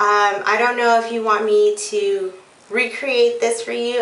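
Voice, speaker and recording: A woman's fairly even intonation with audible room echo. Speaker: beauty vlogger. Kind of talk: casual vlog chat. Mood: playful, a bit unsure. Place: bathroom. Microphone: phone near.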